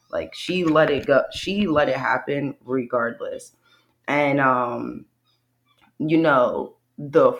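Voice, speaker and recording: Against a quiet background, a woman speaks at a very slow pace in an American accent. Her pitch is very deep and low, with ordinary variation. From US, Bucks County, Pennsylvania (Philadelphia area). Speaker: creative entrepreneur and podcaster. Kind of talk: casual interview.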